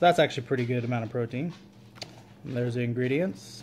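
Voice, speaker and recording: Pitch variation stays ordinary as a man talks. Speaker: family cook vlogger. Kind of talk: casual vlog chat. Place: kitchen. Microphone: phone near.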